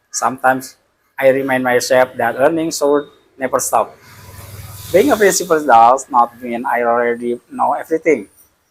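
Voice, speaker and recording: With an Indonesian accent, a man speaks at a moderate pace and medium pitch. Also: ordinary pitch variation. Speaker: school principal learning English. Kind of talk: casual vlog monologue. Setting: office. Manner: halting, with self-corrections.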